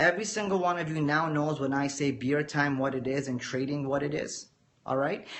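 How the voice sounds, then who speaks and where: Against noticeable background noise, a man speaks at a fairly quick pace. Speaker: forex trader and trading educator. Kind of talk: live-stream lecture to viewers. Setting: live video stream. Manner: calm, measured teacher-like delivery.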